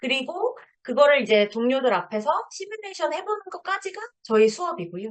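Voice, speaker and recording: Her pitch moves in very wide swings. The woman's voice sits high. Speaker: lecturer. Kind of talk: lecture.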